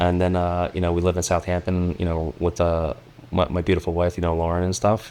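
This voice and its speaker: With a New York accent, a man talks at a fairly quick pace in a very deep, low pitch, with monotone, flat intonation and very even loudness. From New York City (Queens). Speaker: project manager, carpenter. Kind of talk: casual interview chat. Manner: fast.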